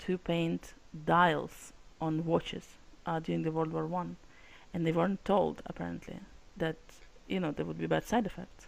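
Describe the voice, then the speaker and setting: A woman with a Russian accent. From Russia / former Soviet republic. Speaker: publishing company CEO. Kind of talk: casual chat.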